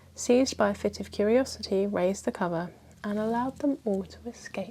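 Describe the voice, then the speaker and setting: A soft-spoken woman talks at a medium pitch. She keeps a moderate pace with ordinary pitch variation. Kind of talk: ASMR bedtime history book reading. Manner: softly spoken, calming.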